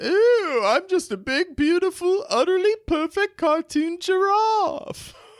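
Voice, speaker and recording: A man puts on a character voice at an extremely high pitch, speaking fairly slowly with hardly any pauses. The recording is very clean and the background silent. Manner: snooty, exaggerated.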